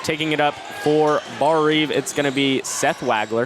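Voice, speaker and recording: A man talks fairly slowly in a fairly high pitch, with noticeable background noise behind him. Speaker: radio play-by-play sports broadcaster. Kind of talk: live radio basketball play-by-play. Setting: live in a school gym.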